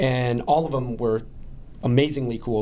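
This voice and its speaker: Audible room echo surrounds this recording. A man speaks at a moderate pace with a medium pitch. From southern Spain. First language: Spanish. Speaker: chiropractor. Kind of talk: podcast interview.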